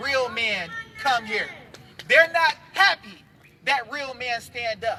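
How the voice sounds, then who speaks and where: A man's raised, projected voice, extremely high-pitched, with lively intonation at a fairly slow pace over noticeable background noise. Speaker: activist speaker at a rally. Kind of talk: public speech to a live crowd. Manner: animated.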